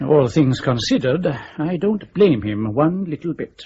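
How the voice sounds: A man's put-on character voice, fairly high in pitch, with a dark, mellow tone, a husky, rough edge, big pitch swings and a fairly slow pace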